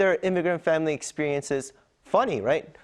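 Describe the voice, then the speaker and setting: Very fast speech from a man with a high pitch. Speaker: news anchor. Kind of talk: news interview host.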